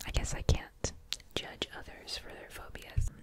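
Very slow whispering from a woman. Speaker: ASMR creator. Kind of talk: ASMR whisper video. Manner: whispered, soft, casual. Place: home room. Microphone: studio mic.

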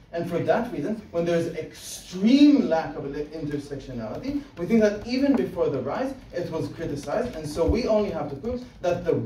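A man at a moderate pace with very wide pitch swings, audible room echo and light background noise. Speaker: competitive debater. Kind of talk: debate speech. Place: classroom. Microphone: camera far.

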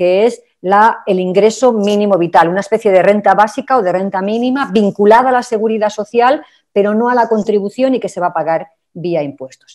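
Here is a woman in a normal speaking voice at a medium pitch with ordinary pitch variation. She keeps a moderate pace over a quiet background. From Spain. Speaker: labour and social protection expert; panelist. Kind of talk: webinar presentation. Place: home room. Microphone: video call.

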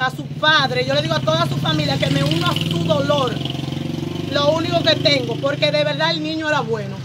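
Over clear background noise, the speaker talks at a fairly quick pace with ordinary pitch variation. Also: woman, high pitch for a woman.

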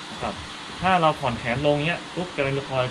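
A man speaks over noticeable background noise. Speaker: shooting instructor. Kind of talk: tutorial. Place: open country.

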